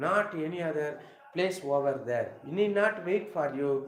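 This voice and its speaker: A man talks in a Tamil Nadu accent at a fairly slow pace. Audible room echo is present. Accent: Tamil Indian English. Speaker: English teacher. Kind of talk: live lecture. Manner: halting.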